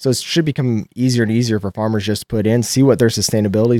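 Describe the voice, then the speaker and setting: A normal speaking voice from a man with an American accent, fairly low in pitch, fairly quick and fairly even in intonation, with a dry, close sound and no echo. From Nebraska. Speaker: farmer. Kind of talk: interview.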